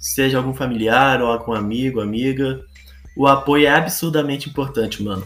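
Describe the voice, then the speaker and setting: With music in the background and audible room echo, a man speaks at a moderate pace and medium pitch with fairly even intonation. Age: 20s. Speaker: gaming content creator. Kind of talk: casual monologue podcast.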